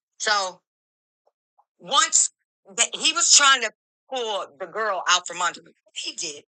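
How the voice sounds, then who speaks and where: A woman with an American accent and a bright, sharp tone speaks at a very slow pace, with long, frequent pauses. Her pitch swings very widely and her loudness varies greatly, in a dry, close sound with no echo. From Michigan. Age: 60s. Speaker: caller. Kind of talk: testimony. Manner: animated.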